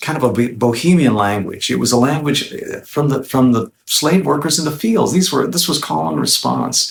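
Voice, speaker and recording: Lively intonation and vocal fry from a man. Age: 60s. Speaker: guitarist and singer-songwriter. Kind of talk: interview.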